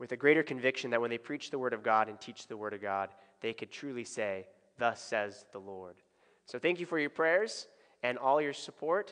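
A man talks at a moderate pace with big swings in loudness against a quiet background. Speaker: pastor. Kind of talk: prayer and church announcements. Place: church.

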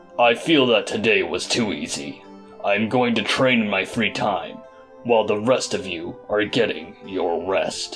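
A man performs a cartoonish character voice at medium pitch and a moderate pace. Clear music plays in the background. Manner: stern, serious.

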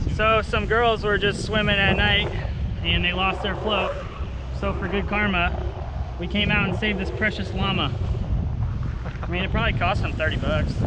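Amid loud background noise, a man talks at a moderate pace with long, frequent pauses, the sound dry with no echo. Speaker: fishing vlogger. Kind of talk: casual vlog chat. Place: boat. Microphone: phone near.

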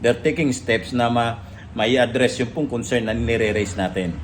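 At a moderate pace, a man speaks at medium pitch with ordinary pitch variation. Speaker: vlogger and LPG retailer. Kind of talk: casual vlog monologue. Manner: halting, many fillers.

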